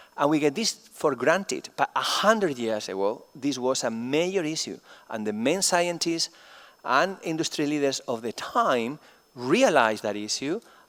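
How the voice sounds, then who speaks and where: In a very clean recording with a silent background, a man speaks at a moderate pace with a Spanish accent. His fairly high pitch swings very widely. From Spain. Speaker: chemistry professor. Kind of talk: conference keynote lecture. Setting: conference stage with audience.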